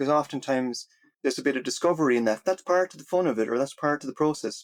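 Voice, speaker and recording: A man with an American accent at a very fast pace, ordinary pitch variation, in a very clean recording with a silent background and a dry, close sound with no echo. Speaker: water technology researcher and entrepreneur. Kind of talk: podcast interview.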